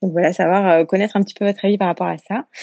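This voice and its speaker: A woman speaks in an unremarkable speaking voice. Her pitch sits in the medium range, with fairly even intonation. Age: 20s. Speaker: listener leaving a voice message. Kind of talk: recorded voice message. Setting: phone voice message.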